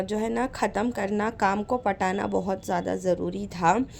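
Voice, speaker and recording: On a very clean recording with a silent background, a woman at a medium pitch speaks at a very slow pace. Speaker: vlogger. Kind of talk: travel vlog narration.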